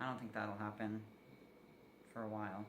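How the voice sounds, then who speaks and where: A man is speaking in a room with audible echo. Noticeable background noise runs underneath. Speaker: vlogger. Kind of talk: personal video update. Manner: casual, filler-heavy.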